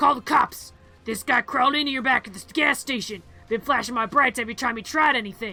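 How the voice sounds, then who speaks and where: Over faint background music, a woman uses a put-on character voice at a high pitch and a very fast pace. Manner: shouted, urgent.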